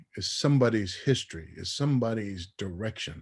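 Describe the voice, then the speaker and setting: A man's somewhat breathy, fairly low voice with lively intonation at a moderate pace. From Tonga. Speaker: former radio personality and music executive. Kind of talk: interview. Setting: radio show. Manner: repetitive, halting restarts.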